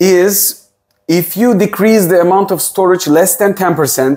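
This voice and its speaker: A man speaks at a fairly slow pace. Behind him, the background is quiet. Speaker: tech reviewer. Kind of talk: tutorial. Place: home room. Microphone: lapel.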